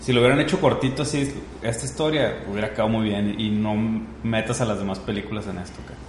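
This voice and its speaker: Speaking very fast with lively intonation at a medium pitch, a man with a Mexican accent is heard over noticeable background noise and audible room echo. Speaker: podcast host. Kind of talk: casual chat.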